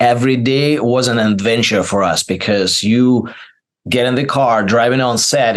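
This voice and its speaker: Speaking with a non-native accent, a man keeps a fairly slow pace, medium pitch and fairly even intonation. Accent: foreign accent, noticeable. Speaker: actor. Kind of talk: interview. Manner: halting, many fillers.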